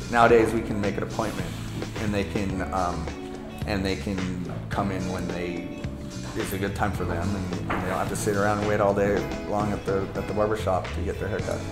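Loud music plays in the background. Over it, a man speaks at a fairly quick pace. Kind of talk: interview answer. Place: shop.

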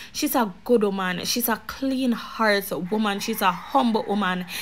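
This woman's voice sits fairly high in pitch. She talks at a fairly slow pace with fairly even intonation. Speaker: YouTube commentary vlogger. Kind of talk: casual vlog monologue.

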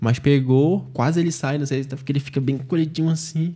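A man's dark, mellow, somewhat breathy voice at a fairly quick pace, with fairly even intonation. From Manaus, Brazil. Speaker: jiu-jitsu athlete; podcast guest. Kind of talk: casual interview. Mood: relaxed, reflective. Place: studio. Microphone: studio mic.

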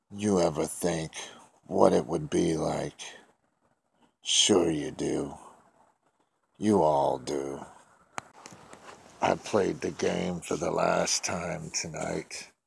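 A man puts on a raspy character voice with a very deep, low pitch. He talks at a very slow pace, leaving long, frequent pauses. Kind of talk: horror story narration. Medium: read story.

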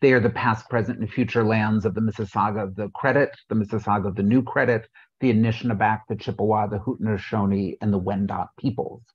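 A man's fairly low, somewhat breathy voice, very fast and monotone, flat in intonation, with hardly any pauses against a quiet background. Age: middle-aged. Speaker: panel moderator. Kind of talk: moderated panel discussion. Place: home room. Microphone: video call.

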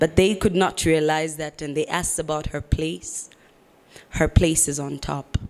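At a moderate pace, a woman speaks in a very deep, low voice with flat, monotone intonation. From Zambia. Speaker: spoken word poet. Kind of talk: spoken word performance. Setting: stage with audience. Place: stage. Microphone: handheld.

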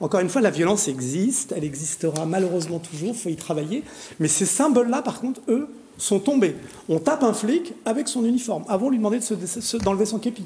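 A man's high-pitched voice swings very widely in pitch at a very fast pace. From Paris suburbs, France; France. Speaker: pharmacy association president and local councillor; talk show panelist. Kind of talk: TV panel debate. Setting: TV studio. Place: studio. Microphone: lapel.

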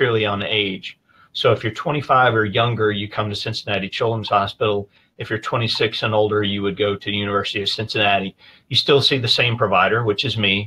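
A man's fairly low, bright, sharp voice at a very fast pace, with fairly even intonation. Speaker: guest. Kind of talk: interview answer. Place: office. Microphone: video call.

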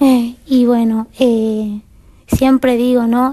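A woman speaks in a high voice with a flat, monotone delivery against a quiet background. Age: 20s. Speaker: interview guest. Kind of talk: TV interview testimony. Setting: TV studio. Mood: calm, earnest. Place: studio. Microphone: headset.

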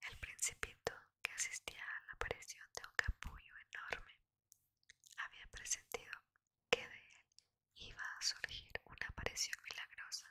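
Whispering at a fairly slow pace, a woman leaves long, frequent pauses. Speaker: ASMR reader. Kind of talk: read story. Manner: whispered. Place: home room. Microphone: studio mic.

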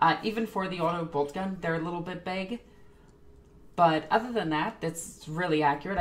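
A woman speaks in a normal speaking voice, fairly low in pitch with ordinary pitch variation, at a moderate pace. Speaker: streamer reacting to a video. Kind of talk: commentary. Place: home room.

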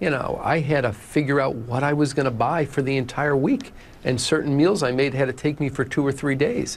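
This man talks at a fairly quick pace, his loudness very even and his intonation fairly even. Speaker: interview guest. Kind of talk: interview answer. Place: studio. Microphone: lapel.

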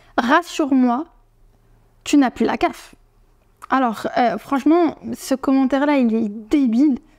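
The speech moves at a very slow pace with long, frequent pauses. Pitch varies in an ordinary way, and the background is quiet. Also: woman, high pitch for a woman. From France. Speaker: YouTuber; vlogger. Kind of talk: vlog to camera; casual vlog chat. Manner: hesitant, many fillers. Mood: firm, indignant but calm. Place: home room. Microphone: lapel.

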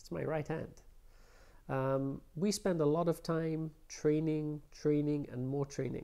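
Against a quiet background, a man with a London accent talks at a fairly slow pace. His voice is fairly high-pitched with a dark, mellow tone and fairly even intonation. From London, England. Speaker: prosthodontist; interviewee. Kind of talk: interview. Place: office.

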